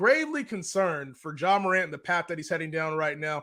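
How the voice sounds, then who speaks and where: Raising and projecting his voice, a man speaks at a fairly quick pace with a bright, sharp tone and lively intonation, in a very clean recording with a silent background. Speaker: sports podcast host. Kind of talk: casual sports talk show.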